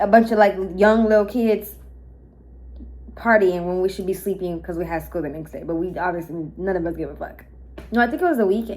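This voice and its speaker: A woman speaks in an animated tone at a moderate pace. Her pitch variation is ordinary. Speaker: mukbang vlogger. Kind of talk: storytime while eating. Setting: apartment with thin walls. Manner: loud.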